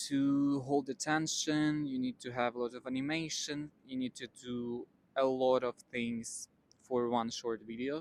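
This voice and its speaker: A man with a non-native accent talks at a medium pitch with fairly even intonation, in a dry, close sound with no echo. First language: not English. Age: 20s. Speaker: vlogger. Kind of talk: casual talk to camera.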